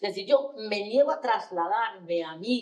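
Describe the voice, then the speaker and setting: With an animated tone, a woman talks at a medium pitch with ordinary pitch variation. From Spain, Asturias (Gijón). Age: 60s. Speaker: panelist. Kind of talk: panel discussion. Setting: stage with audience.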